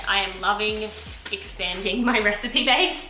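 A woman speaks at a fairly slow pace with audible room echo. Faint music plays in the background. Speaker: vlogger. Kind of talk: casual vlog chat. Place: kitchen. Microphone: phone near.

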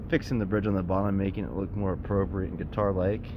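Noticeable background noise runs under a man's voice. He speaks at a fairly low pitch with fairly even intonation. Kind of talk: casual show-and-tell vlog. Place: boat. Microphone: phone near.

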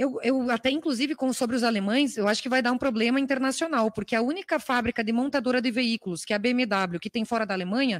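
Against a quiet background, a woman talks very fast with ordinary pitch variation. The sound is dry with no echo. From Brazil. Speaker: congresswoman; legislator questioning a minister. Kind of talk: parliamentary questioning. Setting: parliamentary committee room. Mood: firm, critical. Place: hall. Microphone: podium.

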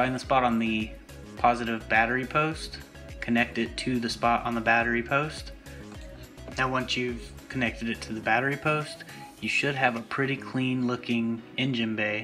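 Music plays in the background as a man talks. His pace is moderate and his pitch varies in an ordinary way. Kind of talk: tutorial narration.

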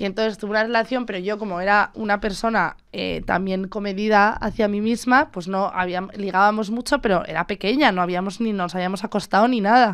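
A woman talks at a fairly quick pace with fairly even intonation and hardly any pauses over a quiet background. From Spain. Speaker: podcast host. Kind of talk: casual chat. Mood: relaxed, warm, personal. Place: studio. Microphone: studio mic.

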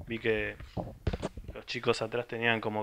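The man's tone is bright and sharp, with monotone, flat intonation. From Argentina, small town in the interior. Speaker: music site contributor; presenter. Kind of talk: casual record presentation. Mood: humorous, relaxed. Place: home room. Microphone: handheld.

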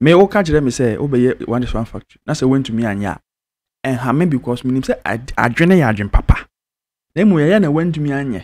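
On a very clean recording with a silent background, a man speaks fast at medium pitch, his slightly mellow tone carried by lively intonation.

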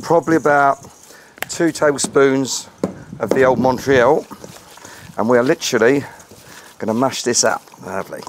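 A fairly high-pitched man with a British accent, ordinary pitch variation and long, frequent pauses, over light background noise. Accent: English (UK), informal. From England. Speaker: BBQ cooking channel host. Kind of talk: casual cooking tutorial. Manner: fast. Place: garden.

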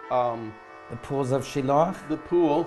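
A man talks at a moderate pace with ordinary pitch variation, and faint music plays in the background. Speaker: interviewee. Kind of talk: interview answer. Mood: warm, enthusiastic. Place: home room. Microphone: lapel.

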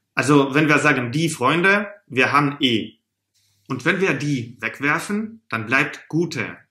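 A man talks very slowly at a fairly high pitch, with ordinary pitch variation and a bright, sharp tone. There is audible room echo against a quiet background. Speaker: German teacher. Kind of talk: tutorial. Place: home room.

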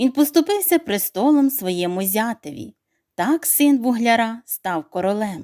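Lively intonation in a natural reading voice, with a quiet background

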